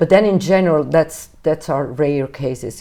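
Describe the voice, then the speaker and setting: A woman with a Neapolitan accent speaks in a dark, mellow tone, her pitch varying in an ordinary way. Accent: Italian (Neapolitan). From Naples, Italy. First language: Neapolitan/Italian. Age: 50s. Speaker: jazz singer. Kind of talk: interview. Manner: hesitant, with fillers.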